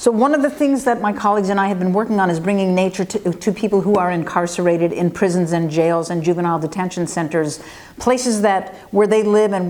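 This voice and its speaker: With an American accent, a woman at a medium pitch speaks at a very fast pace with hardly any pauses and ordinary pitch variation over noticeable background noise. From United States. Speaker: forest ecologist. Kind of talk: interview answers. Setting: interview in Barcelona.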